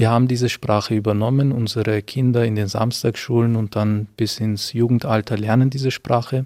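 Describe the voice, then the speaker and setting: A man with a dark, mellow tone speaks at a moderate pace and medium pitch, his intonation monotone and flat, in a dry, close sound with no echo. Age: 20s. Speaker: theology student. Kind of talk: interview monologue, explanatory. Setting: inside a church.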